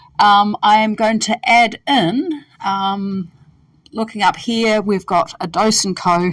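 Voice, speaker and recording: With a New Zealand accent, a woman talks at a very slow pace. Her voice is somewhat breathy, with ordinary pitch variation. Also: fairly high pitch for a woman. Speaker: dietitian. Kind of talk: tutorial. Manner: hesitant, many fillers.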